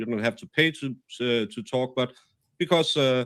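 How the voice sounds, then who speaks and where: A man with a Danish accent talks at a moderate pace and medium pitch with ordinary pitch variation. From Denmark. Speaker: podcast host. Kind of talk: live stream discussion. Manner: halting.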